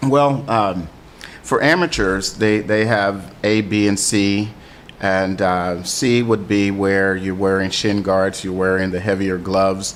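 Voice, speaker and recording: At a very slow pace, a man with a fairly low pitch speaks with fairly even intonation over noticeable background noise. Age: 60s. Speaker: Muay Thai gym owner and coach. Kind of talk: radio interview. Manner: halting, many fillers.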